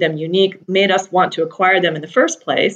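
An ordinary speaking voice from a woman with a General American accent. She holds a medium pitch at a moderate pace. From US Pacific Northwest, Seattle. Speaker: energy executive. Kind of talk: interview.

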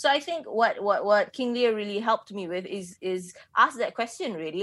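A woman speaks at a medium pitch and moderate pace, with ordinary pitch variation, against a quiet background. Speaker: writer and playwright, critic guest. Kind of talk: casual conversational review discussion, thinking aloud, not radio DJ patter. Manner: hesitant, filler-heavy, reflective, casual.

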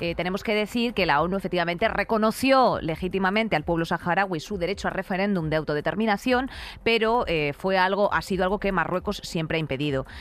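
A woman's very fast delivery at a medium pitch, with ordinary pitch variation. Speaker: podcast co-host. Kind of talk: casual comedic chat.

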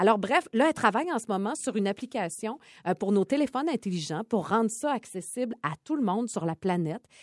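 Very wide pitch swings run through a woman's fairly high voice at a fairly quick pace. The sound is dry and close, with no echo. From Quebec, Côte-Nord (Port-Cartier). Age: 40s. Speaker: podcast co-host, TV personality. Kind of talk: casual chat.

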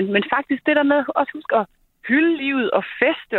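A woman's normal speaking voice, lively in intonation and at a fairly quick pace. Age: 40s. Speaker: charity director. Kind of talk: radio interview.

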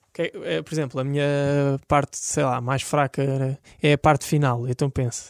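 This man's fairly high voice holds a flat, monotone intonation. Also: moderate pace. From Portugal, Algarve (Portimão). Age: 20s. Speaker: olympic swimmer. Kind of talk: interview.

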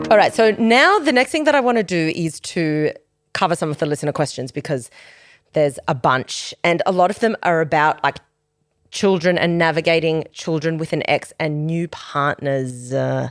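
A woman with an Australian accent speaks at a moderate pace in a fairly low pitch, her tone animated and her intonation lively, on a very clean recording with a silent background. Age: 30s. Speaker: podcast host. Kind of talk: casual chat.

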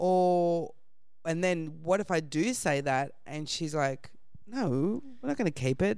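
With an Australian accent, a woman talks at a fairly slow pace in a fairly low pitch, her intonation lively. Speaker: comedian. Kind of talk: storytelling anecdote.

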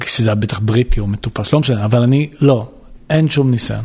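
Over noticeable background noise, a man speaks at medium pitch with a strong Israeli accent. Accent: heavy Israeli accent in English. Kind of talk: storytelling interview.

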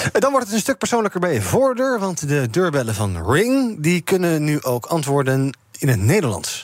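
The pitch swings very widely while the loudness stays very even. The pace is moderate. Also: man, fairly high pitch for a man. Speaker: radio host. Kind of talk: casual chat.

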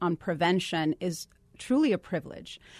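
In a Puerto Rican accent, a woman with fairly low pitch speaks at a moderate pace, the sound dry and close with no echo over a quiet background. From Puerto Rico. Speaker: state government official. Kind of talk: radio interview.

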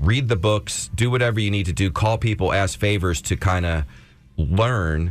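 A man with an American accent speaks at a fairly low pitch and moderate pace, somewhat breathy. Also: ordinary pitch variation. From South Philadelphia. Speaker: former music manager and nonprofit founder. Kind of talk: interview. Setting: radio studio.

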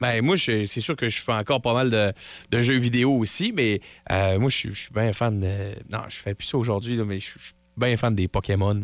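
On a very clean recording with a silent background, a man speaks at a fairly slow pace in a Quebec accent. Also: medium pitch for a man, ordinary pitch variation. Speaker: radio co-host. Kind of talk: casual radio banter. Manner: halting, hesitant.

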